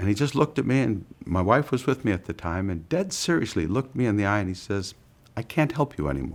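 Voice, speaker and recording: A man talks very fast in a fairly low voice with very wide pitch swings. The recording is very clean, with a silent background. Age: 60s. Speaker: bariatric surgery patient. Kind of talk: testimonial interview.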